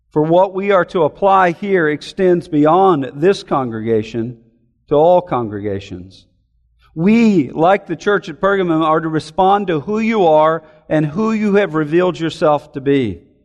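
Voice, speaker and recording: Lively intonation from a man with a high-pitched voice. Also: fairly slow pace. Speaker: pastor. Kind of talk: sermon. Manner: formal.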